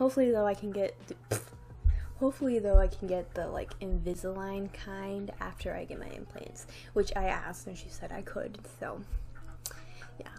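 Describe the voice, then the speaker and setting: A woman talks at a moderate pace with long, frequent pauses, with music in the background and audible room echo. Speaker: vlogger. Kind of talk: casual vlog talk. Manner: rambling, filler-heavy casual.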